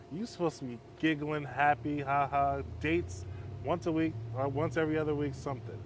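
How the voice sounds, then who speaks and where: Talking at a fairly quick pace, a man speaks at a fairly high pitch, somewhat breathy, with ordinary pitch variation. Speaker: men's halfway home counselor. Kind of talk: casual chat.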